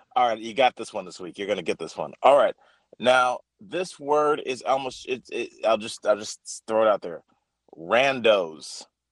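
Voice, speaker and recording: A man speaks in an ordinary speaking voice at a moderate pace, his pitch medium and his intonation lively. The sound is dry and close with no echo, and his loudness swings widely. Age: 30s. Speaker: comedian. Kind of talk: call-in news quiz banter.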